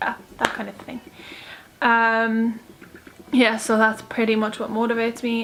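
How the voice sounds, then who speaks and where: At a moderate pace, a woman with an Irish accent speaks at a fairly high pitch over noticeable background noise. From Ireland. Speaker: YouTuber. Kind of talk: casual Q&A vlog. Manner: chatty, filler-heavy.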